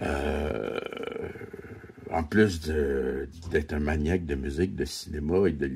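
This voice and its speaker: A man with a Quebec accent speaks very slowly, with ordinary pitch variation and long, frequent pauses. Background noise is noticeable throughout. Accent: Québécois French. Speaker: vlogger. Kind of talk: casual vlog monologue. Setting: at home. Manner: halting, repetitive.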